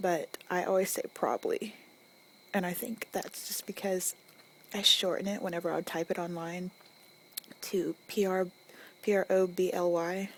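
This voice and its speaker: Soft-spoken and flat in intonation, a woman with a Southern US accent takes long, frequent pauses over noticeable background noise. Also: medium pitch for a woman, moderate pace. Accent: Southern US country. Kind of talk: ASMR accent tag, casual talk.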